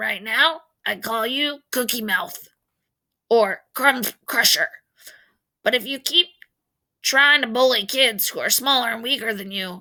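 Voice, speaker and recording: In a put-on character voice, a woman speaks with a high, raspy pitch at a fairly slow pace, with long pauses that come often. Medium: read story. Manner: warm, joking.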